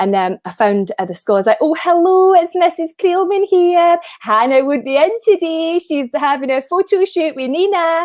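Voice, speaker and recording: This woman's pitch ranges very widely. She talks at a fairly quick speed. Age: 30s. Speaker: impressionist. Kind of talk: casual chat.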